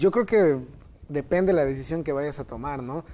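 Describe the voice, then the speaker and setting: In a Yucatecan accent, a man speaks at a fairly slow pace with lively intonation and a dark, mellow tone. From Mexico, Mérida, Yucatán. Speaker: theology student. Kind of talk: Bible study discussion.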